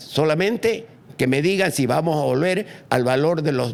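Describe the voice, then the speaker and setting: A man speaks with an animated tone and lively intonation. His fairly high voice has vocal fry. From eastern Bolivia (Santa Cruz, Chiquitania). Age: 80s+. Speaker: former politician. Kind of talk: podcast interview on politics.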